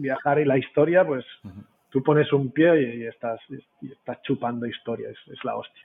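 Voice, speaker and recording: Big swings in loudness, ordinary pitch variation, and a moderate pace. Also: man, medium pitch for a man. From Spain. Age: 40s. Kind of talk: casual interview chat. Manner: animated, swears a lot.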